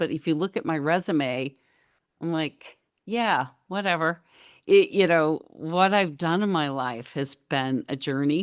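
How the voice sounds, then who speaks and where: A woman's normal speaking voice, fairly low in pitch, with ordinary pitch variation. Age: 60s. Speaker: guest on a storytelling podcast. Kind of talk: casual interview chat.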